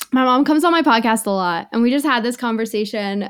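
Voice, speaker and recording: In a very clean recording with a silent background, a woman uses a normal speaking voice at a fairly high pitch and a fairly quick pace. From Greater Toronto Area, Canada. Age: 20s. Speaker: sobriety podcaster and sober trip organizer. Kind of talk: casual chat.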